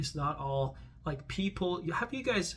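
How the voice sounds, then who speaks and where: Moderate-paced speech from a man with a non-native accent. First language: not English. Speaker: vlogger. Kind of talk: casual vlog monologue. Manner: halting, many false starts.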